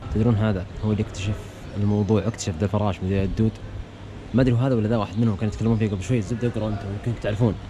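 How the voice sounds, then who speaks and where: Speaking very fast, a man keeps his fairly low voice in a fairly even intonation. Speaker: vlogger. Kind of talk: travel vlog.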